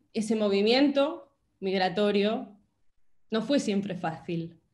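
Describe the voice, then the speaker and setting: A woman speaks at a medium pitch. Room echo can be heard around her voice. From Spain. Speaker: writer. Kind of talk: talk in a virtual panel. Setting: video call.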